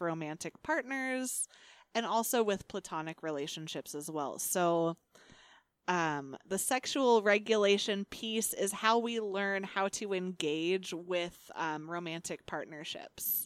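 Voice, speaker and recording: The recording is very clean and the background silent. An ordinary speaking voice proceeds fairly slowly, its pitch varying in an ordinary way. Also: woman. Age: 30s. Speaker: podcast co-host. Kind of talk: casual chat.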